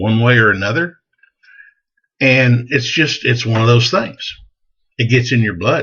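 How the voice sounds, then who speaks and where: With a Texan accent, a man speaks at a medium pitch and a fairly slow pace, his pitch varying in an ordinary way. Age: 60s. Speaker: gun enthusiast vlogger. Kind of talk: casual advice monologue. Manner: folksy, conversational.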